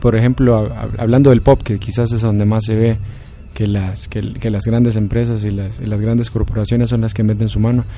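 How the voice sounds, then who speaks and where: Amid noticeable background noise and audible room echo, a man speaks at a fairly quick pace and fairly low pitch with fairly even intonation. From El Salvador. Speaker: rock guitarist. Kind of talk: interview.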